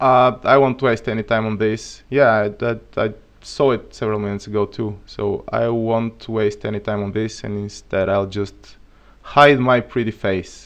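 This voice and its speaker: A man with a Bulgarian accent talks at a moderate pace and medium pitch, keeping his intonation fairly even. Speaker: programming streamer. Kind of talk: live coding tutorial. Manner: halting.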